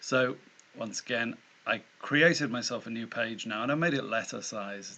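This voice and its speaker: A man with a British accent has a bright, sharp tone. He speaks at a moderate pace with ordinary pitch variation. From Britain. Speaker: tutorial maker. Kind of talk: tutorial. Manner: casual, self-deprecating with hesitations.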